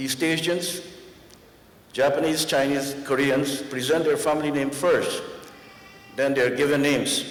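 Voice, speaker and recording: A man's fairly high voice with fairly even intonation, audible room echo and noticeable background noise. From Guyana, Georgetown. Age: 70s. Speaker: honorary doctorate recipient, karate master. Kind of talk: acceptance speech.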